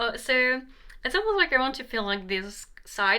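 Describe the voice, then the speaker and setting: Her tone is bright and sharp. The woman talks with a non-native accent. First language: not English. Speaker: tarot reader. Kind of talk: tarot reading. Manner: halting.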